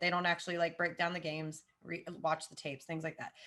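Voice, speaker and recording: A woman's bright, sharp tone with a Southern US accent, against a quiet background. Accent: Southern American. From US South, Jacksonville, Florida. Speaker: football podcaster. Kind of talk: casual chat.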